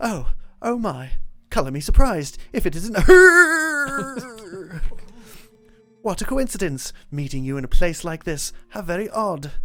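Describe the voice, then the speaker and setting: Over music in the background, a put-on character voice in a British accent projects loudly at a fairly slow pace, sitting at a middle pitch while swinging very widely up and down. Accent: generic British. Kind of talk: scholarly, polite.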